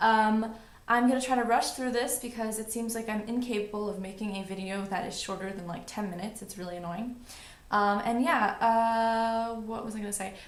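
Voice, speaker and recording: A woman with an American accent and a fairly high pitch talks at a fairly quick pace with fairly even intonation and big swings in loudness. Room echo is audible, along with noticeable background noise. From New York City. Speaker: beauty vlogger. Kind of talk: casual vlog monologue.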